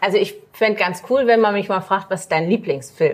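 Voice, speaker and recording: The woman's pitch is medium, and her delivery moves at a moderate speed. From Magdeburg, Saxony-Anhalt, Germany. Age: 40s. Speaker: tourism marketing executive. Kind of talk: casual chat. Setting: café, filmed livestream.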